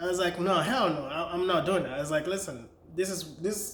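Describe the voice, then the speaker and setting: A man speaks with a Nigerian accent. Noticeable background noise and audible room echo are present in the recording. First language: Nigerian language, not English. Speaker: vlogger and author. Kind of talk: personal story vlog. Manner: casual, conversational.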